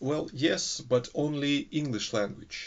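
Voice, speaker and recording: In a Russian accent, a man speaks with a fairly high pitch. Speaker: English teaching student. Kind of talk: recorded course assignment monologue. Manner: halting, many filler sounds.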